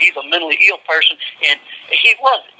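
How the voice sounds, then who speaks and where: Someone with a Southern US accent talks at a fairly quick pace amid noticeable background noise. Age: 50s. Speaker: death row inmate. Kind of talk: phone interview.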